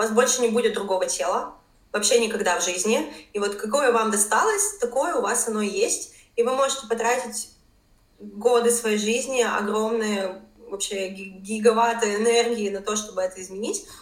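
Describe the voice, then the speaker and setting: Over noticeable background noise and audible room echo, a woman talks at a moderate pace in a fairly high pitch with ordinary pitch variation. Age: 20s. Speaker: fitness trainer and blogger. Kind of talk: interview.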